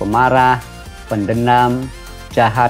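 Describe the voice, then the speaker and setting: A man at a very slow pace, with music in the background. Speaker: junior high school teacher. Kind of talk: educational lesson narration.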